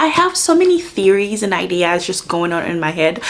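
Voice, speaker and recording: The speaker has an animated tone and a moderate pace. Noticeable background noise runs underneath. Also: woman. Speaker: book vlogger. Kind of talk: casual vlog chat.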